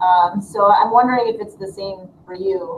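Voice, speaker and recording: A woman's medium-pitched voice with an American accent, at a moderate pace and fairly even intonation, amid noticeable background noise. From Dearborn, Michigan, US. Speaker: high school teacher. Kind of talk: panel discussion. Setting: video call.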